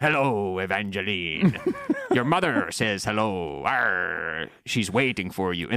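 Putting on a character voice, a man speaks at a fairly low pitch. He goes at a fairly slow pace. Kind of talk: pirate-speak. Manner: weird, eerie, menacing.

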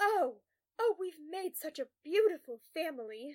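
A woman's put-on character voice at an extremely high pitch, slightly mellow in tone, with big pitch swings, a fairly slow pace and a dry, close sound with no echo.

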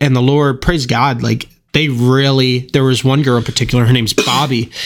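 A man with a plain, everyday voice talks at a medium pitch with fairly even intonation. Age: 20s. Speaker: podcast host and church volunteer. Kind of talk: casual chat.

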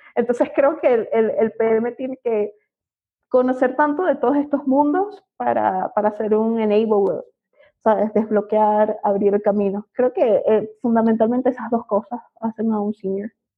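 Speaking in a Venezuelan accent, a woman talks at a fairly slow pace. Her voice is fairly high, with ordinary pitch variation. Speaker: product manager. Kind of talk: interview. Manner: hesitant, many fillers.

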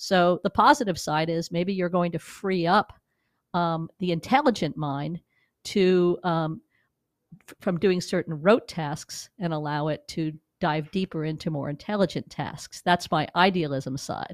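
In an American accent, a woman with a normal speaking voice talks at a fairly slow pace and a fairly low pitch, with ordinary pitch variation and big swings in loudness. The recording is very clean with a silent background, dry and close with no echo. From New York. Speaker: digital media executive. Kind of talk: interview. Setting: studio.

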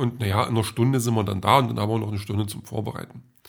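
A man's medium-pitched voice, fairly even in intonation, at a very fast pace. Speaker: podcaster. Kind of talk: casual monologue diary. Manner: hesitant, many filler sounds.

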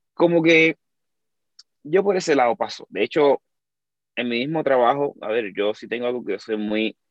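A man at a moderate pace with lively intonation. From Cuba. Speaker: dancer and content creator. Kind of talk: casual chat.

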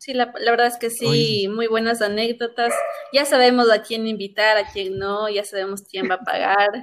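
This woman has an unremarkable speaking voice with a fairly high pitch. She keeps a moderate pace and fairly even intonation. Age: 20s. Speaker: communication student and sports show presenter. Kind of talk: casual chat.

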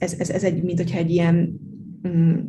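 Somewhat breathy, a woman's voice sits fairly low in pitch and has a dark, mellow tone. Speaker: law lecturer. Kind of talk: interview.

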